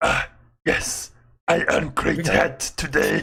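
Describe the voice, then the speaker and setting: In a put-on character voice, a man drawls at a very slow pace with a strong Russian accent. The voice is raspy and fairly high in pitch. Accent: heavy Russian. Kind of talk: broken stilted English.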